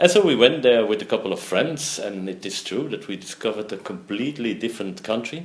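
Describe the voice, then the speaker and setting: In a Flemish accent, the speech moves at a fairly quick pace. The intonation is lively. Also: man. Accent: Belgian Dutch (Flemish) accent in English. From Belgium. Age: 60s. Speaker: entrepreneur. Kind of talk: interview. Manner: halting.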